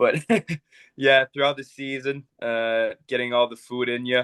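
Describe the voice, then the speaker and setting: A man with a Quebec accent at a moderate pace. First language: French. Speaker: professional hockey goalie. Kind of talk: podcast interview. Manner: halting.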